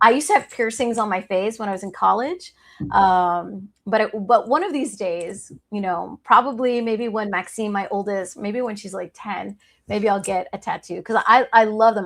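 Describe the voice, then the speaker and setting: This is an ordinary speaking voice with an American accent, at a moderate pace with ordinary pitch variation. Its loudness swings widely on a very clean recording with a silent background. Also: woman. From US Northeast, New York City (Harlem). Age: 30s. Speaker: attorney, law firm founder. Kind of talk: casual chat.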